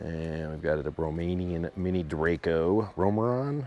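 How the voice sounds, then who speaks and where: With lively intonation and an enthusiastic tone, a man speaks in a very deep, low pitch. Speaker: gun show video blogger. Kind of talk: walkthrough commentary. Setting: indoor gun show hall. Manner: casual, enthusiastic.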